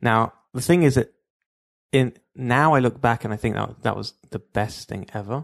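A man with a London accent at a moderate pace, with long, frequent pauses and ordinary pitch variation, in a dry, close sound with no echo against a quiet background. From London, England (Stamford Hill). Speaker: entrepreneur, call center founder. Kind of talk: interview storytelling.

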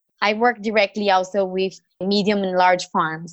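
Moderate pace, with a Brazilian accent. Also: woman. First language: Portuguese. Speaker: startup founder and CEO. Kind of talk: interview answers.

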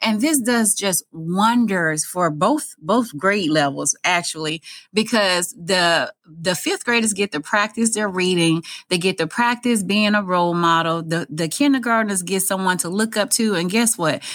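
A woman with a Southern US accent, medium pitch and an animated tone at a fairly slow pace, in a very clean recording with a silent background. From Mississippi. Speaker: school principal. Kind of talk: interview.

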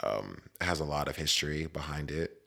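Here is a man with a very deep, low pitch and an American accent. His tone is bright and sharp, and his pace fairly slow. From West Virginia. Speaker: roller skater. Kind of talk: casual interview chat.

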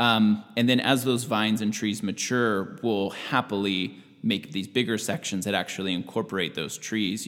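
A man with an American accent speaks at a moderate pace in an ordinary speaking voice. His pitch is fairly low, with ordinary pitch variation. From US Pacific Northwest, Washington State. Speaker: farm manager. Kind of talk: interview.

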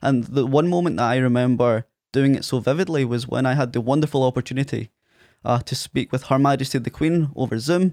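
Speaking at a fairly quick pace with a strong Scottish accent, a man at medium pitch uses ordinary pitch variation, his dry, close sound free of echo on a very clean recording with a silent background. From Ayr, Scotland. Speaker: podcaster and management consultant. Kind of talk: casual interview chat. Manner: halting, filler-heavy.

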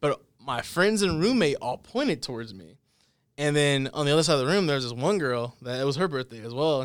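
A man with an American accent and a plain, everyday voice, fairly high in pitch, with lively intonation at a fairly quick pace, in a very clean recording with a silent background. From Texas, Dallas area. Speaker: podcast host. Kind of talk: casual chat. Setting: studio.

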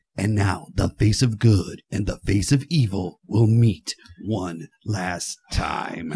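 In a put-on character voice, a man speaks at a very slow pace with fairly low pitch. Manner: dramatic, portentous.

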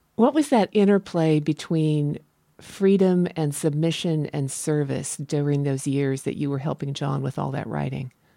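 With a very deep, low pitch and a dark, mellow tone, a woman talks at a moderate pace with ordinary pitch variation. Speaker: podcast host. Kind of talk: casual interview.

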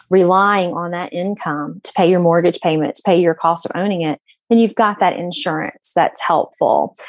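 A woman speaks at a medium pitch with a strong Southern US accent. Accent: thick Southern drawl. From US South, Alabama Gulf Coast. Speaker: realtor. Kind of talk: casual chat.

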